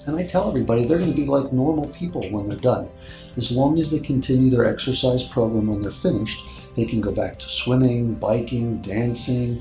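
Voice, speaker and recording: Music plays in the background as a man speaks at a fairly quick pace, with a medium pitch and ordinary pitch variation. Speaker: orthopedic surgeon. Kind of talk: doctor explaining procedure.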